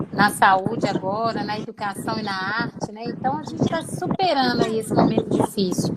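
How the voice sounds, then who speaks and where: A woman with a strong Minas Gerais accent speaks at a moderate pace with ordinary pitch variation over noticeable background noise. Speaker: occupational therapist and course teacher. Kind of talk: live video interview. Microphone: some echo.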